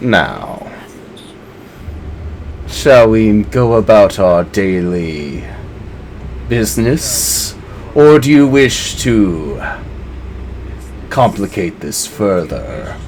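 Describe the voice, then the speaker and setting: A man uses a put-on character voice at a fairly low pitch and a very slow pace. He leaves long, frequent pauses, and there is clear background noise. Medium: actual play. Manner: courtly, threatening.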